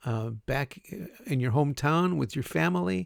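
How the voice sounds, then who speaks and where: A man speaks at a fairly slow pace with an American accent. The recording is very clean, with a silent background. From Chicago, US Midwest. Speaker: university English teacher. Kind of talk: recorded class introduction lecture. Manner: casual with many fillers and repetitions.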